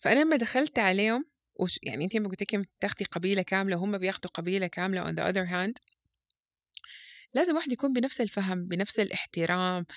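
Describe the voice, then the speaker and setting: Fairly quick speech with lively intonation in a Sudanese accent, a dry, close sound with no echo, and a very clean recording with a silent background. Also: woman. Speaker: parenting educator. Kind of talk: podcast interview. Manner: loud; halting, many false starts.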